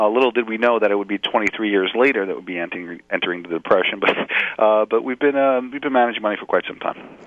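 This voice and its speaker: Very fast male speech at medium pitch, ordinary pitch variation, with noticeable background noise. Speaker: financial planner. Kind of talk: interview.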